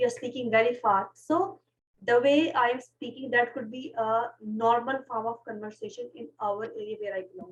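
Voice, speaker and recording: A Pashto accent with big swings in loudness and ordinary pitch variation. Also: woman, high pitch for a woman. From Pakistan. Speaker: podcast host. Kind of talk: casual chat. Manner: fast.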